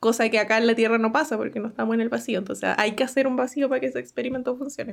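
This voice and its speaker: A woman talks at a very fast pace. Her voice has vocal fry and fairly even intonation. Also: fairly high pitch for a woman. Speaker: science podcast host. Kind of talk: casual chat. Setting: live stream.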